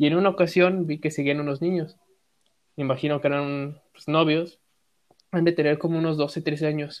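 Flat, monotone intonation runs through speech delivered fairly quickly. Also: man. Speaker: podcast co-host. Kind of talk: casual chat.

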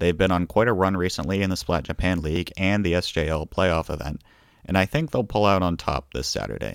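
Talking at a fairly quick pace, a man with a very deep, low voice and vocal fry shows ordinary pitch variation. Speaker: podcast host covering competitive Splatoon. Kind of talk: scripted-style solo podcast roundup.

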